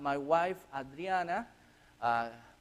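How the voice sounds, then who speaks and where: A man with a Chilean accent speaks at a high pitch and a fairly slow pace. The recording is very clean, with a silent background. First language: Spanish. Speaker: missionary. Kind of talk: church mission presentation. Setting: church. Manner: halting.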